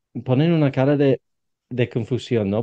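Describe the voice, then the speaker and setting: A man with a British accent speaks at a medium pitch, his pitch varying in an ordinary way. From Britain. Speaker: podcast host and English coach. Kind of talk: interview conversation. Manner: halting, repeats words.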